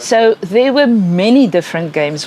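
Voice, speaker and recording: Against noticeable background noise, a speaker with a South African accent talks at a fairly slow pace. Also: woman. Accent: Afrikaans South African English. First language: Afrikaans. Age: old. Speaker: educational psychologist. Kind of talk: lecture.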